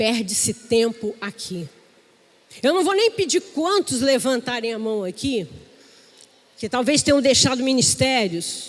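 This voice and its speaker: Her pitch is high and swings very widely. This woman speaks at a fairly slow pace, with long, frequent pauses. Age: 60s. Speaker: pastor. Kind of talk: sermon.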